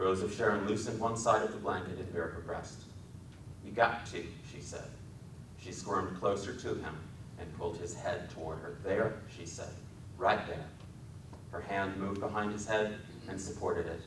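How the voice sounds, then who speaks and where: The speaker has an American accent and a moderate pace, with long, frequent pauses and ordinary pitch variation. Loudness swings widely, and background noise is noticeable. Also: man, fairly low pitch for a man. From Wisconsin. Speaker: author and filmmaker. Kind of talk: dramatic literary reading. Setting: public library talk.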